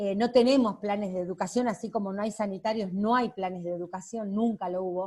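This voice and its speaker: The woman's somewhat breathy voice keeps to a moderate pace. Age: 60s. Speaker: audience member asking questions. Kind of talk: question to a speaker. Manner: halting.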